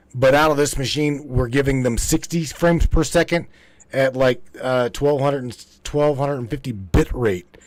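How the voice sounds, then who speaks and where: With an American accent, a man talks at a moderate pace and medium pitch in an unremarkable speaking voice with ordinary pitch variation. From West Virginia. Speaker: live stream host. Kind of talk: casual chat.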